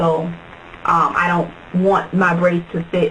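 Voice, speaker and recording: There's noticeable background noise in this clip. Over it, a woman talks. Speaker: beauty vlogger. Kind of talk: tutorial. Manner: fast.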